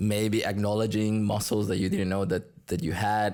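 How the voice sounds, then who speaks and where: A man speaks in a Spanish accent. The recording is very clean, with a silent background. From Colombia. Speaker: salsa teacher. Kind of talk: casual interview chat.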